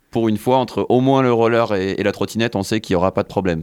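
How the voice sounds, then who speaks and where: With an ordinary speaking voice, a man talks fairly quickly at a fairly low pitch with ordinary pitch variation. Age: 20s. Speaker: scooter rider and sports association volunteer. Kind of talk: radio interview.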